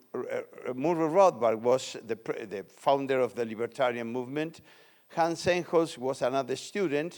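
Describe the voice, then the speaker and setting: Pitched rather high for a man, he talks at a somewhat unhurried speed. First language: Spanish. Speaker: economics lecturer. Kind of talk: lecture. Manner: halting.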